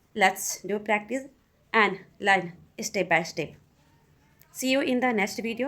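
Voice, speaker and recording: At a fairly slow pace, a woman with a non-native accent speaks at medium pitch with ordinary pitch variation. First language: not English. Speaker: English learner. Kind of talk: casual talk to camera. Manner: hesitant.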